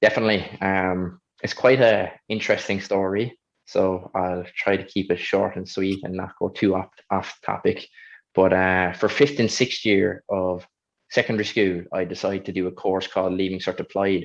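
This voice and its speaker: With a Kerry Irish accent, a man speaks in a very deep, low pitch. His intonation stays fairly even over a quiet background. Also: moderate pace. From Ireland, County Kerry (Killarney). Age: 20s. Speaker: Paralympic athlete. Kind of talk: interview.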